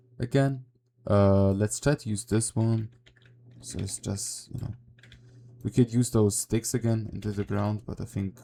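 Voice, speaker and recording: Speech comes at a moderate speed. Pauses are long and frequent. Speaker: game developer tutorial creator. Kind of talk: tutorial. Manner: casual, halting with many fillers.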